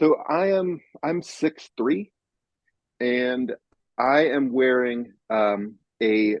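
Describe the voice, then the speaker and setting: A man's medium-pitched voice rises and falls with lively intonation. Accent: American. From California. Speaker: author. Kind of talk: casual chat. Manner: halting, many fillers.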